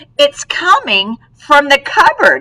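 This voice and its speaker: A woman puts on a character voice, pitched high and swinging very widely in pitch. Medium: read story. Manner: excitable.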